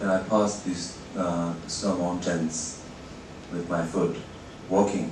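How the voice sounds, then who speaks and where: Over noticeable background noise and audible room echo, a man with a very deep, low pitch speaks at a very slow pace in monotone, flat intonation, with long, frequent pauses. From Tibet (Eastern). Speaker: journalist. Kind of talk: lecture. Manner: halting, many fillers.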